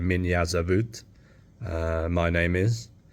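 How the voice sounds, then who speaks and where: In an English accent, a man with a very deep, low, somewhat breathy voice speaks in a flat monotone on a very clean recording with a silent background. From England. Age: 30s. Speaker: vlogger. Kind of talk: casual chat. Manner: halting.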